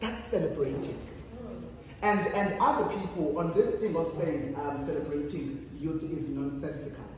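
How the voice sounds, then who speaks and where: The pace is moderate, and the room echo is strong. Light background noise can be heard. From South Africa. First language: Xhosa. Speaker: youth activist and panelist. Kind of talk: panel discussion. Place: hall. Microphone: camera far.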